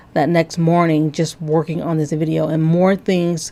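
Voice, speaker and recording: A woman with a fairly low pitch and a dark, mellow tone speaks at a moderate pace. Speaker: religious video commentator. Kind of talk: video commentary breakdown. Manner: frequent filler words and hesitations.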